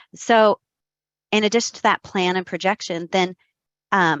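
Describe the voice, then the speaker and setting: A woman talks at a medium pitch. The sound is dry with no echo, and the background is quiet. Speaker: credit analyst. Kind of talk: webinar discussion. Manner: enthusiastic. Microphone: video call.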